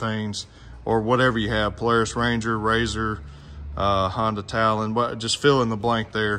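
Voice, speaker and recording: There is light background noise as a man talks in a bright, sharp tone. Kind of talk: tutorial. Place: garage. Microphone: phone near.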